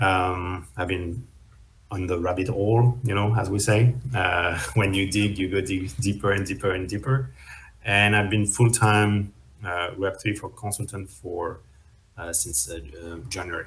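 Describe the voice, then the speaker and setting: Fairly low in pitch, a man talks at a fairly slow pace. His voice is somewhat breathy, with fairly even intonation. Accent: French. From France. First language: French. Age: 30s. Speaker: web3 consultant and startup founder. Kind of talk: interview. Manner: hesitant, many fillers.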